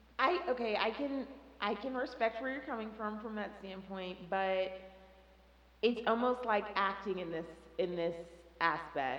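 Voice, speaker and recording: With an American accent, a woman speaks at a fairly high pitch and a fairly slow pace, with lively intonation and long, frequent pauses, amid audible room echo and noticeable background noise. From Texas (Dallas). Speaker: podcast guest. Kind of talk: casual chat.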